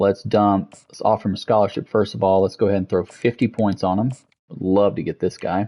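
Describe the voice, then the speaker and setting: Talking at a fairly quick pace, a man with a fairly low pitch uses a normal speaking voice. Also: fairly even intonation. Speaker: gaming streamer. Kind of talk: gameplay commentary.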